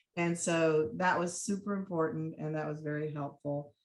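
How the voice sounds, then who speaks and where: With a very deep, low voice, a woman talks at a moderate pace using fairly even intonation. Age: 60s. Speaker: state legislative candidate. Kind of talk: panel talk at online campaign training.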